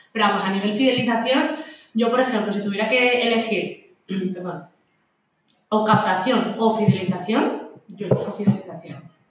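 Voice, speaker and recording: Long, frequent pauses break up a woman's fairly high voice at a moderate pace, with audible room echo around her. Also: ordinary pitch variation. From Spain, outside Madrid. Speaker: marketing expert and gym co-owner. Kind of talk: casual interview chat. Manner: animated, laughs often.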